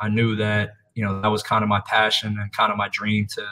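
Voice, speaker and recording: The man's fairly low voice moves at a fairly quick pace. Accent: American. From Philadelphia. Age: 30s. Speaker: college basketball assistant coach. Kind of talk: casual interview.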